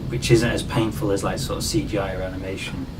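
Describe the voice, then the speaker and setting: A man with a northern English accent at a fairly quick pace, audible room echo and noticeable background noise around him. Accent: northern English, getting stronger. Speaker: digital artist and vlogger. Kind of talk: casual conversation about art.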